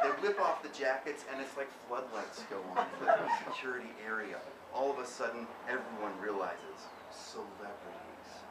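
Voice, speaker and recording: Loud background noise surrounds a man talking at a moderate pace. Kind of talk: literary reading aloud. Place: shop. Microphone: camera far.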